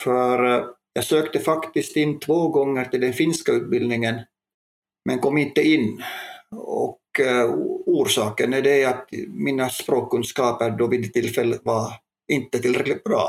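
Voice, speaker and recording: Keeping his loudness very even, a man speaks at a fairly slow pace. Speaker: police chief inspector, police educator. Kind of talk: panel discussion.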